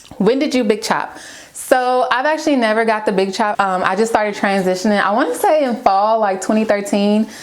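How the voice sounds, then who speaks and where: A woman's fairly high voice at a fairly quick pace, ordinary pitch variation, noticeable background noise and audible room echo. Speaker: beauty and lifestyle vlogger. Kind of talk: casual vlog chat. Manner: chatty.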